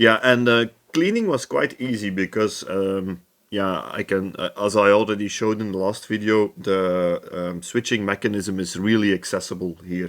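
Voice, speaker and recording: With a Dutch accent, a man speaks at a moderate pace in a fairly low voice with fairly even intonation, captured in a very clean recording with a silent background. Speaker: electronics restoration youtuber. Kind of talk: tutorial. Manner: hesitant, many fillers.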